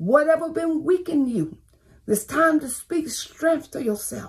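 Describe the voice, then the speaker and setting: A woman speaks with an extremely high pitch and ordinary pitch variation. Her pace is fairly slow, and the background is quiet. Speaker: pastor. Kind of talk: fiery online sermon with call-and-response exhortation. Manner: fervent, urgent preaching punctuated by 'Come on, thank you, Jesus'; repetitive, rhythmic exhortation, stacking short commands. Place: home room. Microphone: phone near.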